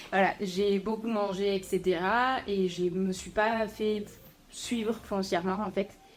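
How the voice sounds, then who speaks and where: Her intonation monotone and flat, a woman talks at a very slow pace. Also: medium pitch for a woman. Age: 20s. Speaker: coaching client. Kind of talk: interview testimony. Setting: podcast.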